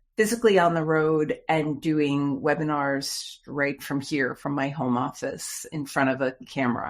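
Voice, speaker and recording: A woman's very deep, low voice at a fairly slow pace, with ordinary pitch variation, on a very clean recording with a silent background. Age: 60s. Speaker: trainer of executive assistants and author. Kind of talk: interview.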